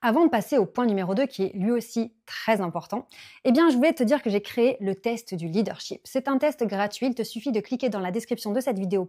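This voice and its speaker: A woman with a fairly high pitch, an animated tone and lively intonation, on a very clean recording with a silent background. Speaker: business coach and YouTuber. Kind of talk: YouTube tutorial. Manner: loud, high energy.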